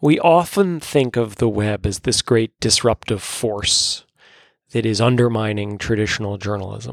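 At a moderate pace and fairly low pitch, a man in a plain, everyday voice with an American accent shows ordinary pitch variation on a very clean recording with a silent background. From New York. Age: 40s. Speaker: newspaper columnist and editor. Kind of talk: interview.

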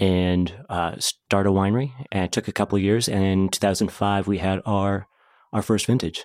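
A man with an American accent speaks in an ordinary speaking voice at a moderate pace, his fairly low pitch carried on fairly even intonation and very even loudness, in a very clean recording with a silent background and a dry, close sound with no echo. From Oregon. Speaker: winemaker. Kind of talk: casual chat.

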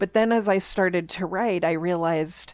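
A woman with an American accent has an unremarkable speaking voice, fairly low in pitch with ordinary pitch variation. She speaks at a moderate pace against a quiet background. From Pittsburgh, Pennsylvania. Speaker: children's author. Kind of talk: interview.

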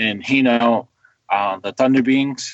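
With an American accent, a man talks at a moderate pace with fairly even intonation. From western New York, Seneca territory. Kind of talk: interview.

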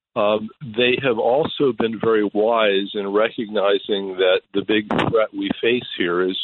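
In a plain, everyday voice, a man speaks slowly-ish at a fairly slow pace and fairly low pitch. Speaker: foreign affairs analyst. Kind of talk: radio interview.

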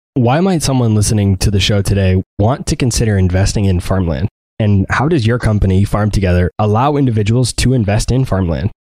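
With a dark, mellow tone and a fairly low pitch, a man speaks at a fairly quick pace with hardly any pauses and very even loudness, in a dry, close sound with no echo. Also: ordinary pitch variation. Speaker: podcast host. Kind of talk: interview.

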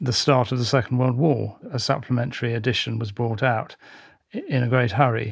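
A somewhat breathy man's voice at medium pitch, at a fairly quick pace. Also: fairly even intonation. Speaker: magazine heritage head. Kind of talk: panel discussion.

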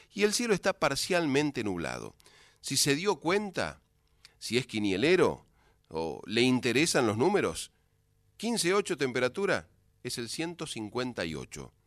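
With vocal fry and medium pitch, a man talks at a very slow pace, his pitch swinging very widely between long, frequent pauses against a quiet background. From San Luis, Argentina. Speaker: folk radio host. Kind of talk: radio show presenting.

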